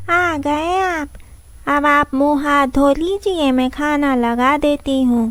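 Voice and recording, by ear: A woman's cartoonish character voice, high-pitched and at a fairly slow pace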